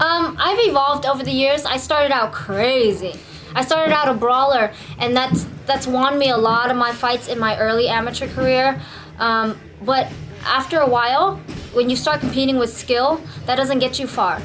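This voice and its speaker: In a Vietnamese accent, a woman speaks at a moderate pace with a high pitch, ordinary pitch variation and very even loudness. The room echo is audible, and background noise is noticeable. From California, Bay Area (East Oakland, San Jose); born in Vietnam. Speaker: Muay Thai and MMA fighter. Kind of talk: interview. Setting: gym.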